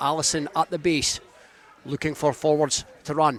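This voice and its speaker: Fairly high pitch for a man, in a dry, close sound with no echo, over noticeable background noise. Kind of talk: live rugby match commentary. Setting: rugby ground, live radio broadcast.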